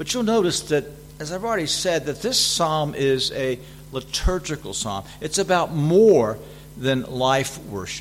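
A man with a fairly high pitch and very wide pitch swings, in an American accent, over noticeable background noise. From US South. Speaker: visiting preacher and seminary teacher. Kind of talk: sermon. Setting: church. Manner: frequent fillers and hesitations.

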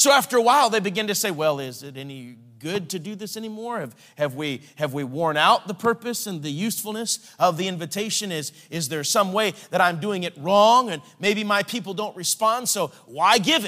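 A man's raised, projected voice, high-pitched with a bright, sharp tone, lively intonation, big swings in loudness, a moderate pace and hardly any pauses. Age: 40s. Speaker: evangelist. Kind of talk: sermon.

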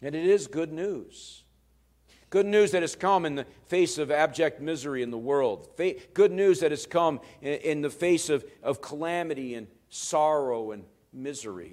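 This man has a normal speaking voice, fairly high in pitch, with lively intonation and a moderate pace. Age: 50s. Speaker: pastor. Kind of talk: sermon.

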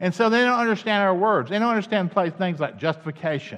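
Against a quiet background, a man speaks in a Southern US accent. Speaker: campus minister. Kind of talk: sermon. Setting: church. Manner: halting, many fillers.

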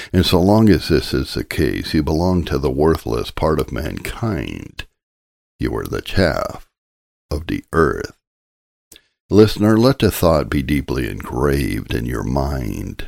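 With a very deep, low pitch and vocal fry, a man speaks at a fairly slow pace through very wide pitch swings in a very clean recording with a silent background. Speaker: audiobook narrator reading a sermon. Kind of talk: scripted sermon reading, an old Puritan-style sermon read aloud as audiobook narration. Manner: earnest, solemn and urgent, pleading directly with the listener; formal, rhetorical, with repeated questions.

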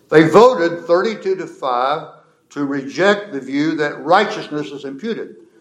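A man with a fairly high pitch speaks at a fairly slow pace, with lively intonation and big swings in loudness. Audible room echo surrounds his voice. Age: old. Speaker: pastor. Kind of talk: lecture.

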